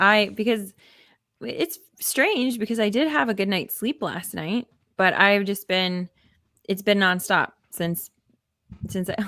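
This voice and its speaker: Using a put-on character voice, a woman speaks raspily at medium pitch with lively intonation, a fairly slow pace and long, frequent pauses. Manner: subdued, low energy.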